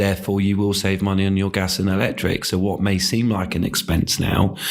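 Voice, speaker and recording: Over noticeable background noise, a man speaks fairly quickly in a flat, monotone way. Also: fairly low pitch for a man. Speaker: business owner. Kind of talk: interview answer. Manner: soft-spoken.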